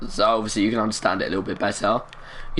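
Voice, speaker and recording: Noticeable background noise and audible room echo accompany a man who speaks at a very fast pace. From England, East London. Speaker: gaming live streamer. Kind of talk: live stream chat with viewers.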